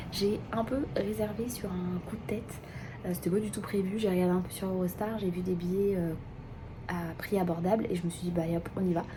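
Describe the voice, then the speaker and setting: The speech moves at a fairly quick pace with ordinary pitch variation. There is audible echo from the room. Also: woman, medium pitch for a woman. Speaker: vlogger, mother. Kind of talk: casual vlog narration.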